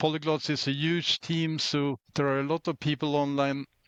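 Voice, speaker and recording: Speaking in monotone, flat intonation with a Swedish accent, the voice has a dry, close sound with no echo. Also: man. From Sweden. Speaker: open-source volunteer contributor. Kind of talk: interview.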